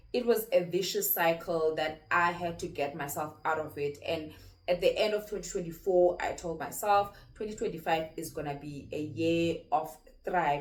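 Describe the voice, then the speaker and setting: At a moderate pace, a woman speaks with a non-native accent, a fairly low pitch and ordinary pitch variation. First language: not English. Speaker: YouTuber. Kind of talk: personal vlog monologue. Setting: home corner filming. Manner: occasional stammering repeats.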